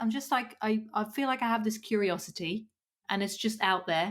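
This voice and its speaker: Speaking with a Dutch accent at a moderate pace, a woman with a fairly high voice keeps a very even loudness and ordinary pitch variation in a very clean recording with a silent background. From Netherlands. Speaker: podcast host. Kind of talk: casual chat.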